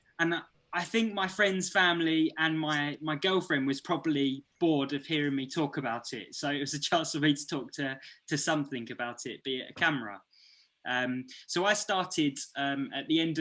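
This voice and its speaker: A man's fairly high voice, bright and sharp in tone, with ordinary pitch variation, a fairly quick pace and a quiet background. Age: 30s. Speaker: YouTuber and photographer. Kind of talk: presentation. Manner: stuttering; hesitant.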